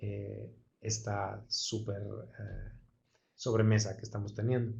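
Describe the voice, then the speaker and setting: A man's somewhat breathy voice with a Castilian accent. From Madrid, Spain. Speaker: actor and acting teacher. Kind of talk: online lecture.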